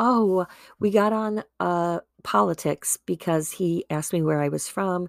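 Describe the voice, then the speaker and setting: Speaking fairly slowly in a Midwestern accent, a woman with a fairly low voice and ordinary pitch variation comes through a very clean, silent-background recording that sounds dry and close with no echo. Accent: Midwest. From US Midwest, Wisconsin. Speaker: podcast host. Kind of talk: personal monologue. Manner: casual, chatty.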